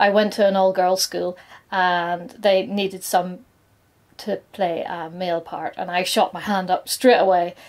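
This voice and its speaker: In a British accent, a woman speaks at a moderate pace in a very clean recording with a silent background. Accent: noticeable regional British. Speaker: nail artist and content creator. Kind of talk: scripted personal coming-out talk to camera.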